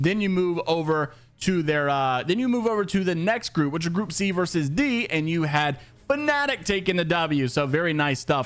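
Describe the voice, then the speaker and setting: Here a man speaks with lively intonation. His tone is animated. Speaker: esports news youtuber. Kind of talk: casual news commentary. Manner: fast.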